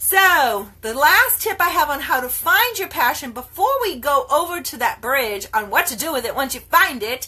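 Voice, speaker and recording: A woman's raised, projected voice, animated in tone, at a moderate pace with very wide pitch swings. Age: 50s. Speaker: network marketer and health coach. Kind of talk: live video talk to followers.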